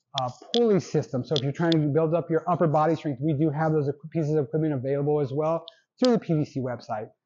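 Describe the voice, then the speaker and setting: A man is speaking with ordinary pitch variation. Light background noise sits behind him. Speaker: presenter. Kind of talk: product presentation. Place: shop.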